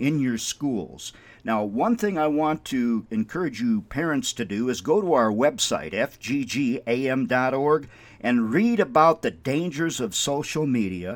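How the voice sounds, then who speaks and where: In a very clean recording with a silent background, a man with an American accent speaks fairly slowly at a fairly high pitch, his pitch swinging very widely. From Minnesota. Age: 60s. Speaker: radio ministry host. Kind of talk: radio devotional talk.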